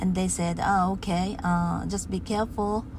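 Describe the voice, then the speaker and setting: A Japanese accent amid noticeable background noise and audible room echo. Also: woman. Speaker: English learner vlogger. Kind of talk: casual monologue practice. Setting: in a car. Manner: halting.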